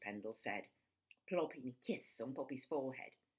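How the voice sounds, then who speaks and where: A woman speaks in a bright, sharp tone. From London, England. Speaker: children's author. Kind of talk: reading aloud.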